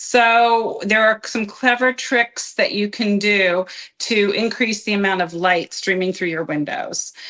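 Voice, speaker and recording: A woman with an American accent talks at a fairly slow pace and a medium pitch, with ordinary pitch variation. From Philadelphia area, US Northeast. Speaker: real estate agent, show co-host. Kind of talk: casual chat.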